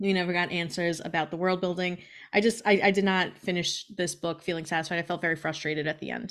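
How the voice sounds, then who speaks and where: Very fast and fairly low-pitched, a woman speaks with fairly even intonation. The recording is very clean, the background silent. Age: 30s. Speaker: podcast co-host. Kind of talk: casual chat. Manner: laughs often.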